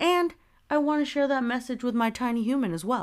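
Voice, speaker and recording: The recording of the woman is very clean, its background silent. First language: Spanish. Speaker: podcast host. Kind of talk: casual solo monologue. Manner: animated.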